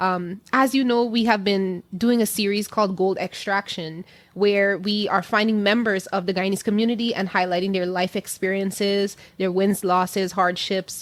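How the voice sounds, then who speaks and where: A woman has an ordinary speaking voice, medium in pitch, with fairly even intonation. Her loudness stays very even at a moderate pace. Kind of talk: podcast host intro.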